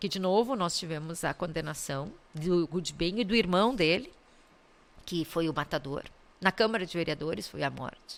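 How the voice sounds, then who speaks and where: A woman talks in a normal speaking voice with a fairly low pitch. Her pace is moderate and her intonation lively. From southern Brazil, Caxias do Sul. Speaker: public prosecutor. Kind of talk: interview conversation. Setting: studio podcast.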